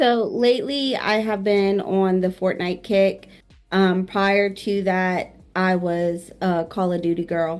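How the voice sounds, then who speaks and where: With music in the background, a woman speaks at a very slow pace in a medium pitch with fairly even intonation. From New Orleans, Louisiana. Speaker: streamer. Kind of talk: casual interview chat.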